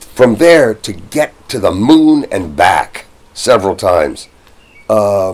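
Long, frequent pauses break up this man's speech. His pace is very slow. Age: 60s. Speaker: congressional candidate and actor. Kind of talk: interview. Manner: halting. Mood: relaxed, opinionated. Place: home room. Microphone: camera far.

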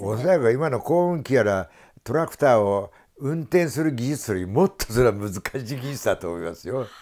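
Very clean recording with a silent background, a man at medium pitch with very wide pitch swings and a fairly quick pace. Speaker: local studies scholar. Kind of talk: radio talk show conversation.

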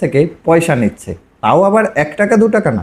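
A man speaks at a high pitch in a dark, mellow tone. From West Bengal, Kolkata. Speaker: YouTuber and digital marketer. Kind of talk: tutorial vlog.

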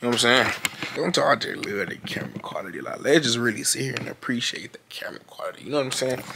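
Whispering at a very fast pace. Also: man. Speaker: vlogger. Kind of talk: casual vlog chat. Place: home room. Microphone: phone near.

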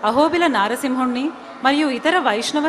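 Noticeable background noise behind a high-pitched female voice, with ordinary variation in pitch. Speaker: program announcer. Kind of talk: formal introduction. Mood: respectful, devotional. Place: stage. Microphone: podium.

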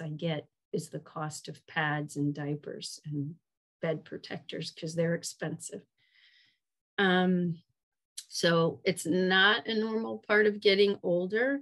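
The speaker has an American accent and ordinary pitch variation. The background is quiet. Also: woman. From US South, Atlanta; US South. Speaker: urologist; presenter. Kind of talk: webinar lecture. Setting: online webinar. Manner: hesitant, many fillers.

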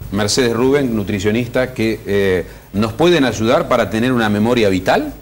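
A man at a moderate pace, with very even loudness and ordinary pitch variation. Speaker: TV host. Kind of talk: TV talk show. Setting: TV studio. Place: studio. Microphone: lapel.

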